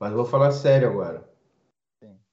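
A man with a fairly high pitch, somewhat breathy, at a very fast pace, with audible room echo. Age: 30s. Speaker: comedian. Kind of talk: casual chat.

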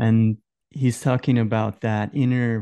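A man speaks at a very slow pace with medium pitch and a dark, mellow tone, his intonation flat and monotone. The sound is dry and close with no echo, over a quiet background. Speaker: meditation guide and co-host. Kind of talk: casual conversation about meditation and spirituality. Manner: calm, guiding tone.

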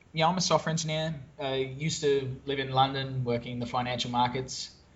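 A man with an Australian accent, fairly high in pitch, fairly quick in pace and fairly even in intonation. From Australia, Brisbane. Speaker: SEO business owner. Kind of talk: interview conversation.

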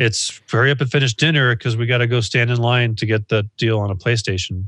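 Against a quiet background, a man speaks fairly quickly at a medium pitch. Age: 40s. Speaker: podcast co-host. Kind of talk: casual chat. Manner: animated.

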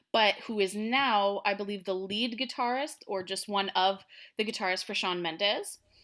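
In a Canadian accent, a woman speaks at a medium pitch with a bright, sharp tone. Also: ordinary pitch variation, moderate pace, very clean recording, silent background. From Canada, Ottawa. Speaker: singer-songwriter. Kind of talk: casual interview.

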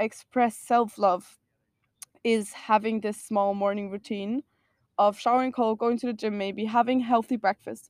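The voice, heard in a dry, close sound with no echo, keeps fairly even intonation in a German accent. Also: woman. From Austria. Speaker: self-love advocate. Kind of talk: casual chat.

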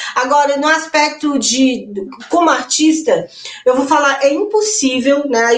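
Audible room echo surrounds a woman's high voice. She speaks at a fairly slow pace. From interior of Minas Gerais, Brazil. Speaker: singer, actress and songwriter. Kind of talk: panel discussion.

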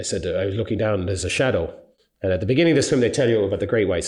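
A man talks with an Irish accent and lively intonation. His voice is somewhat breathy. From Ireland. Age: 50s. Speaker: long distance endurance swimmer. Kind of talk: interview by school pupils.

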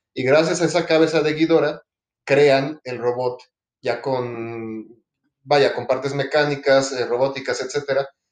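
Speaking at a moderate pace with fairly even intonation, a man has an unremarkable speaking voice. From Mexico City. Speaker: podcast co-host. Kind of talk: casual chat.

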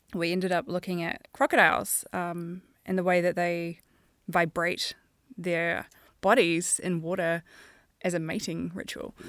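A woman with a New Zealand accent and fairly low pitch, fairly slow and fairly even, with long, frequent pauses, on a very clean recording with a silent background. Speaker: animation supervisor. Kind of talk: casual chat.

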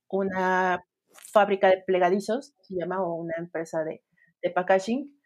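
A woman with a normal speaking voice talks at a fairly slow pace and a medium pitch. The recording is very clean, with a silent background. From Sinaloa, Mexico. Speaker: UX designer. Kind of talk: interview.

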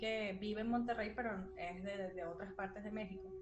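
A woman talks at a moderate pace over noticeable background noise, with audible room echo. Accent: Venezuelan. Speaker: podcast co-host. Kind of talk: casual chat.

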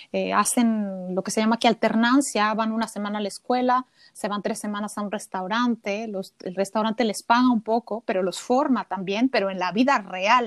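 A woman speaks in a plain, everyday voice, fairly high in pitch, at a moderate pace with hardly any pauses. Her intonation is fairly even, and the sound is dry and close with no echo. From Mexico City. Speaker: cook. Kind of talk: casual interview.

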